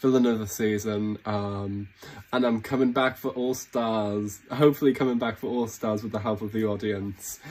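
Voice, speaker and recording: In a British accent, a man talks at a moderate pace with a fairly low pitch and fairly even intonation. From Britain. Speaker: reality game show contestant. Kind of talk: casting audition video. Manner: halting, many false starts.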